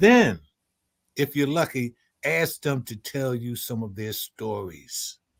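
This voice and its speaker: In a very clean recording with a silent background and a dry, close sound with no echo, a man speaks very slowly at a medium pitch with lively intonation. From Philadelphia. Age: 70s. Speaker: former prisoner and panelist. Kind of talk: panel discussion.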